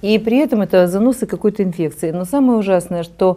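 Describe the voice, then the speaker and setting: A woman speaks at a fairly quick pace with a dark, mellow tone. Her pitch varies in an ordinary way. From Odesa, Ukraine. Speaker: healthcare official. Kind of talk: TV panel discussion. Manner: formal. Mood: serious, earnest. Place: studio. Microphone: lapel.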